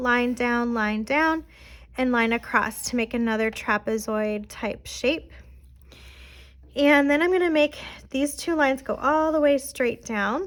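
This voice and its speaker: On a very clean recording with a silent background, a woman speaks at a high pitch. Her pace is fairly slow, with long, frequent pauses. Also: ordinary pitch variation. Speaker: art teacher. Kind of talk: tutorial.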